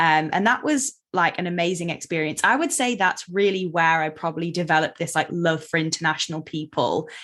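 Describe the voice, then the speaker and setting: Speaking in an unremarkable speaking voice, a woman moves at a fairly quick pace with hardly any pauses, her fairly low pitch showing ordinary variation. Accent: American. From England (Derby), partly Seattle as a child. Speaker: eating disorder therapist. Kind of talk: podcast interview. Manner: casual, many fillers (um, like).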